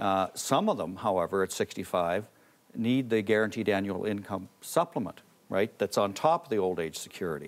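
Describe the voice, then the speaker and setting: With a Canadian accent, a man speaks in a normal speaking voice at a moderate pace, his pitch fairly low and its variation ordinary. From Canada. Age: 60s. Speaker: pollster and author. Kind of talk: TV interview.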